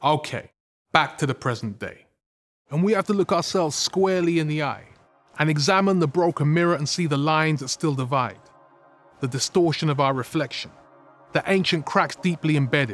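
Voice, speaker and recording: A man speaks at a fairly quick pace with ordinary pitch variation and long, frequent pauses. The sound is dry with no echo, and faint music plays in the background. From UK. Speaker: spoken word poet and radio presenter. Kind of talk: poem performed on film. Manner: rhythmic, performed.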